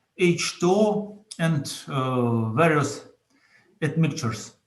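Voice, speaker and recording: A man speaks with a Russian accent at a fairly high pitch. Audible room echo surrounds the voice. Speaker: entrepreneur. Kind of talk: conference presentation. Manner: halting.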